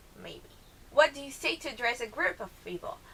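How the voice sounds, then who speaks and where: A woman talks with a Brazilian accent. There is noticeable background noise behind her. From southern Brazil, Porto Alegre. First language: Portuguese. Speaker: vlogger. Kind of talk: casual vlog, accent challenge.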